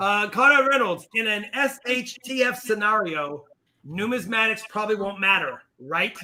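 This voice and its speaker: Projecting a raised voice, a man talks at a moderate pace with a high pitch and lively intonation. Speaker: coin channel host. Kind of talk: casual chat. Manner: loud. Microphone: echo and feedback reported.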